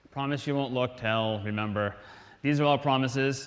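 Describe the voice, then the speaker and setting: Speaking at a fairly quick pace with an American accent, a man is heard amid audible room echo. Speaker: conference speaker. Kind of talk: lecture. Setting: stage with audience. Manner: fast.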